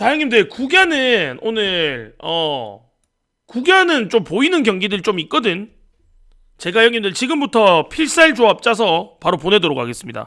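In a raised, projected voice, a man speaks with a bright, sharp tone at a high pitch that swings very widely. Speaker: sports betting tipster streamer. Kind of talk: casual betting-tips livestream.

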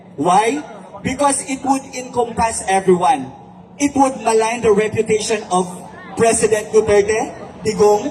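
The speaker has a Philippine accent and talks at a fairly slow pace with ordinary pitch variation, over noticeable background noise. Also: man, high pitch for a man. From Visayas. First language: Cebuano (speaking Tagalog). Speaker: online writer. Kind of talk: rally speech. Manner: code-switching English and Tagalog.

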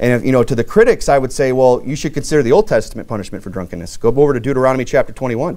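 Speaking at a very fast pace, a man barely pauses at all. His tone is dark and mellow, against a quiet background. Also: lively intonation. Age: 30s. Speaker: pastor. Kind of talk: sermon. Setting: church. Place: church.

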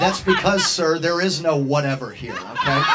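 Background music plays throughout. A man talks over it with lively intonation. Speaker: host. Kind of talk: comedic stage banter. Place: bar. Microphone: handheld.

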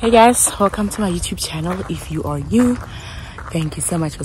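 A woman speaks with a dry sound that has no echo. Noticeable background noise can be heard. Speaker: travel vlogger. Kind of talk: casual vlog chat. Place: open country. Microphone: phone near.

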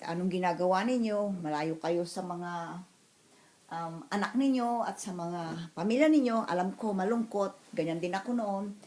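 With a normal speaking voice, a woman at medium pitch talks at a fairly slow pace with lively intonation. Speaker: vlogger. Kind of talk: casual vlog.

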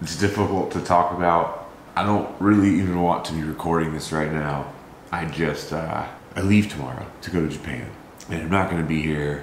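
With audible room echo and light background noise, a man at a very deep, low pitch speaks at a moderate pace with fairly even intonation. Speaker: vlogger. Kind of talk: casual vlog chat. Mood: grieving, somber. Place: kitchen. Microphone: camera far.

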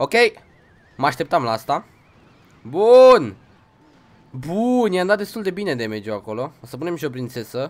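Pausing long and often, a man talks at a moderate pace with very wide pitch swings. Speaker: gaming streamer. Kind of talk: casual gameplay commentary. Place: home room.

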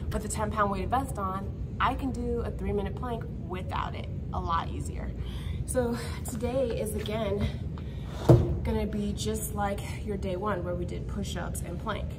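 Over loud background noise, a woman talks at a moderate pace, leaving long, frequent pauses. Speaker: fitness instructor. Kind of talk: tutorial. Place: gym. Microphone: camera far.

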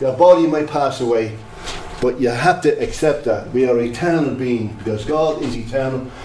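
A man speaks at a moderate pace with ordinary pitch variation. The room echo is audible, and light background noise is present. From Ireland, Drogheda; Ireland. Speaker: lay preacher. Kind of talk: sermon. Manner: animated. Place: hall.

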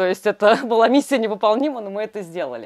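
A woman speaks at a fairly high pitch with lively intonation. The background is quiet. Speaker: glamping co-founder. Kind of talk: guided tour. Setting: outdoors. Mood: warm, enthusiastic. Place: garden.

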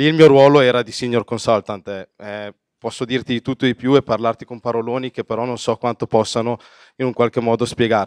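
A man's plain, everyday voice at a medium pitch and a fairly quick pace, dry and close with no echo, over a quiet background. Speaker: politician. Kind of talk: speech.

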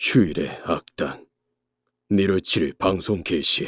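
Putting on a character voice, a man speaks at a fairly low pitch and a fairly slow pace. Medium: dub.

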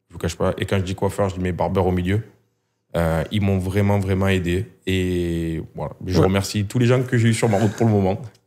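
With a southern French accent, a man speaks at a fairly quick pace in a very deep, low pitch, his tone dark and mellow and his intonation fairly even. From southern France. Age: 30s. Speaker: hair clipper brand marketing employee; guest. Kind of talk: casual interview. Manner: hesitant, many fillers. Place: studio. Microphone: studio mic.

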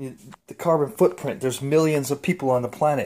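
With an enthusiastic tone, a man talks fairly quickly at a fairly high pitch, his pitch varying in an ordinary way. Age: 50s. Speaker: home cook vlogger. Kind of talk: casual talk to camera. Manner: enthusiastic, casual. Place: kitchen. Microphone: phone near.

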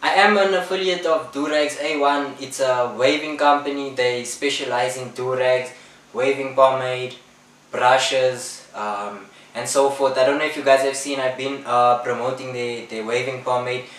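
A man talks at a moderate pace with fairly even intonation. Audible room echo surrounds his voice. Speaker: barber youtuber. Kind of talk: casual vlog chat. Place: home room.

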